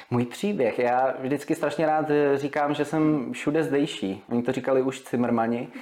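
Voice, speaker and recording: With noticeable background noise, a man talks at a fairly high pitch and very even loudness. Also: ordinary pitch variation, fairly slow pace. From Czechia, Vysočina region (Humpolec). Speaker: radio presenter and DJ. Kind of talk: casual interview chat.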